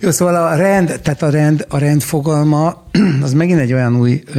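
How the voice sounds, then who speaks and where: In a dark, mellow tone, a man talks at a moderate pace with ordinary pitch variation. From Hungary. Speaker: radio host and rock musician. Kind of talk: interview.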